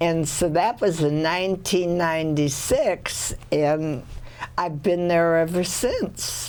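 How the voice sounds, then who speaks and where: Her pitch is fairly low and her intonation fairly even. The woman talks at a very slow pace. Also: very even loudness. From US Pacific Northwest, Seattle. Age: 90s. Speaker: retired artist and community resident. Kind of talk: interview.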